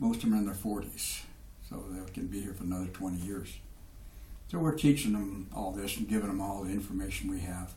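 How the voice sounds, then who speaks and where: Audible room echo follows a man who talks fairly quickly but leaves long, frequent pauses. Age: 70s. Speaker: oil and gas businessman. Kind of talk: casual interview.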